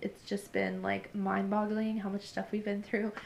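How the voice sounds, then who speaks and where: Noticeable background noise accompanies a woman whose voice is fairly high. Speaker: shop owner and vlogger. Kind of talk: casual vlog tour. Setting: indoors in shop. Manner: fast.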